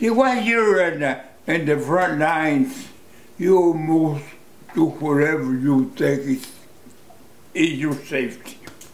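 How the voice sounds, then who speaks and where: Audible room echo surrounds a man with an American accent who speaks fairly slowly at a fairly high pitch, with lively intonation and long, frequent pauses. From United States. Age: 80s+. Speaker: war veteran. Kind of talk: interview answer. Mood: reflective, emotional. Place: home room.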